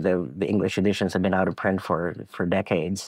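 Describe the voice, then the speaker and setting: Over a quiet background, a man with a Montreal accent talks at a fairly quick pace. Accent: Canadian English (Montreal Anglophone). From Quebec, Anglophone suburb of Laval near Montreal. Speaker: cartoonist and former publisher. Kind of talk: interview conversation. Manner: halting, many repetitions and fillers.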